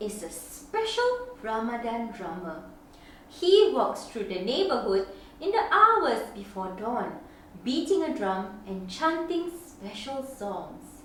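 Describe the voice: With strong room echo around her, a woman speaks slowly in a fairly high, fairly bright voice that makes big pitch swings.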